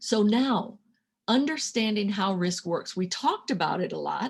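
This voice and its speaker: This woman's fairly high voice has a somewhat breathy quality. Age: 60s. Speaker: financial coach and workshop leader. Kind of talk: interactive workshop lecture.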